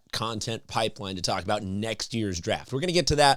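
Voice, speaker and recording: The recording is very clean with a silent background as a man speaks with lively intonation. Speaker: sports podcast host. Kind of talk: casual sports commentary. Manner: fast; animated.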